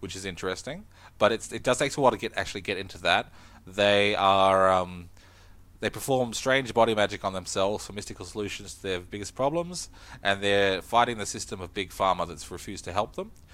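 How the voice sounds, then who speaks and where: In an Australian accent, the speaker moves at a fairly quick pace with ordinary pitch variation and big swings in loudness. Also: man, fairly low pitch for a man. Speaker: tabletop game podcast co-host. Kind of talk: casual chat.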